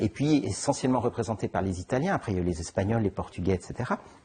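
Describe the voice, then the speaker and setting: Dark, mellow, somewhat breathy tones from a man. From Geneva area, Switzerland. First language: Italian (speaking French). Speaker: novelist. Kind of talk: interview. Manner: halting, many repetitions and fillers.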